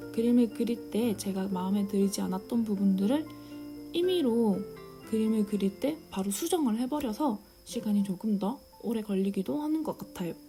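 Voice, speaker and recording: A woman's fairly high voice with lively intonation at a moderate pace, music in the background. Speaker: illustrator. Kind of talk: drawing tutorial voice-over.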